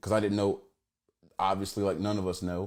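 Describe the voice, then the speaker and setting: A man with an American accent speaks at a fairly low pitch. The recording is very clean with a silent background. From Oklahoma, Tulsa. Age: 30s. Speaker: activist and entertainer. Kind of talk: casual live-stream monologue. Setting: Instagram Live.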